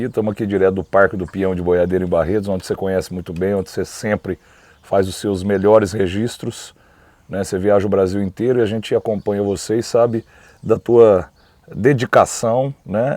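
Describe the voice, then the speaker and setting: With a dark, mellow tone and a fairly low pitch, a man speaks at a fairly quick pace in fairly even intonation, the sound dry and close with no echo. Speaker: rodeo announcer. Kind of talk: interview answer. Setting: outdoors at rodeo park, background noise.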